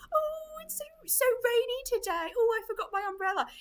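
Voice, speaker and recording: A put-on character voice comes through squeaky and sing-song at an extremely high pitch. It moves at a moderate pace. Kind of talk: whimsical, complaining about rain. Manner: cheerful, singsong.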